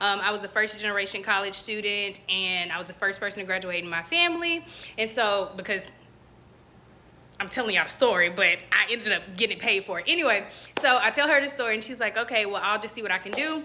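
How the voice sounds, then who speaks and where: A woman speaks at a medium pitch and a very fast pace. Her intonation is lively. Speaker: faith vlogger. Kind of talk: casual testimony. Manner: animated.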